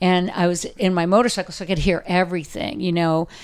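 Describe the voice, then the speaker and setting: A woman speaks with an American accent and a fairly low pitch. Her intonation stays fairly even. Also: very clean recording, silent background. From Southern California, Orange County. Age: 60s. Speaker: dog rescue founder. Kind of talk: casual interview. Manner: hesitant with frequent fillers.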